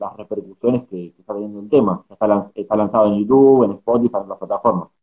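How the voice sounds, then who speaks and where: Speech comes at a very fast pace. The intonation stays fairly even. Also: man, hardly any pauses, big swings in loudness. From Argentina. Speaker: journalist and podcast host. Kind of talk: interview.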